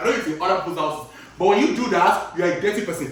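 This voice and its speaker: Over noticeable background noise and audible room echo, a man talks in an animated tone with very wide pitch swings. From Nigeria and Chicago. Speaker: cooking vlogger. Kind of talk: casual chat while cooking.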